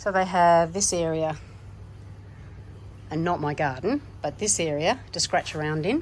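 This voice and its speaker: In an Australian accent, a woman talks at a fairly slow pace with long, frequent pauses. Her voice is fairly low, with ordinary pitch variation. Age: 70s. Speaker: gardening vlogger. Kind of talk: casual vlog narration.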